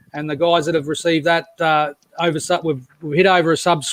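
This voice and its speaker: An Australian accent from a man at a high pitch, fairly quick and monotone with flat intonation, in a dry, close sound with no echo. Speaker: crypto live-stream host. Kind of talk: casual live-stream chat. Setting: live online stream. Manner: halting, many fillers and repeats.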